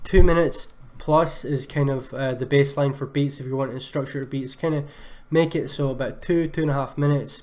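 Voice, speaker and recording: A man with a Scottish accent talks at a fairly quick pace in a fairly high pitch, his intonation monotone and flat. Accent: Scottish, sometimes mistaken for Irish. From Scotland. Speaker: music producer reviewing beats on a livestream. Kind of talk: live stream beat review. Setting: live stream with chat. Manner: casual, many filler words.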